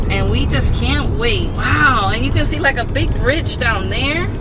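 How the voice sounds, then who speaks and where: A woman speaks at a fairly slow pace. Clear music sounds in the background. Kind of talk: casual vlog chat. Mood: excited, cheerful. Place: car. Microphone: phone near.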